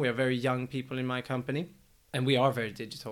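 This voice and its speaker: A man speaks with a Swedish accent. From Sweden. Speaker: tech startup executive. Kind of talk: casual chat.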